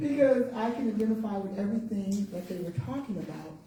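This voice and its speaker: Quietly and at a fairly quick pace, a woman talks at a medium pitch amid noticeable background noise and audible room echo. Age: 50s. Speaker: senior living advisor. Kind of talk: panel presentation. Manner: quiet, may fade.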